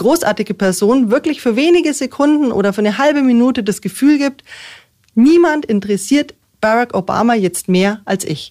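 A woman with a fairly high pitch and a dark, mellow tone makes very wide pitch swings. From Munich (Aubing), Bavaria. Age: 40s. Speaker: politician, mayoral candidate. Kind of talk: radio interview. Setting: studio.

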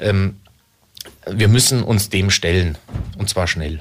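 A man's fairly low, somewhat breathy voice with ordinary pitch variation. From Munich, Bavaria. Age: 40s. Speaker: local politician. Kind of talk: radio interview.

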